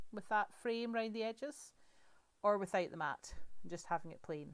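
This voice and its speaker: The speaker talks at a moderate pace with a Scottish accent. The pitch swings very widely. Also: woman. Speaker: crafting demonstrator. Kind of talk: live crafting tutorial. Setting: livestream. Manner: chatty, conversational.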